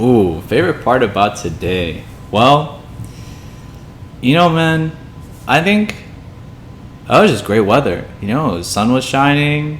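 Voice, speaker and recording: A man with an American accent speaks at a fairly slow pace with very wide pitch swings and long, frequent pauses, amid noticeable background noise and audible room echo. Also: medium pitch for a man. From US Midwest, Illinois. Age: 20s. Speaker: podcast co-host. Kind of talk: casual chat. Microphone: poor audio quality.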